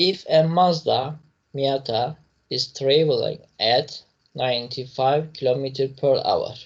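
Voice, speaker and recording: The speech moves at a fairly slow pace, somewhat breathy, with fairly even intonation. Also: man, fairly high pitch for a man. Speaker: physics teacher. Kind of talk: lecture.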